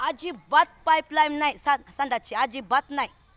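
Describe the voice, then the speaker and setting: Her pitch is high and her tone animated, with ordinary pitch variation. The woman's sound is dry and close, with no echo. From Indapur taluka, Pune district, Maharashtra. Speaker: village resident vlogger. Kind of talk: complaint vlog walkthrough.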